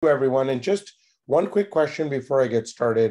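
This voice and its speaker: With an American accent, a man speaks in a medium pitch. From United States. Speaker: tech entrepreneur. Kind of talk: conference talk.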